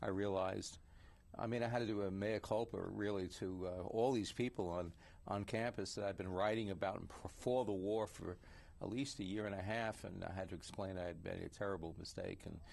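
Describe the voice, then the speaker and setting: A man with an American accent talks at a fairly quick pace, his pitch fairly low and his intonation fairly even. He has a normal speaking voice. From New York City (Queens). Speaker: writers union president and investigative journalist. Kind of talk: interview conversation.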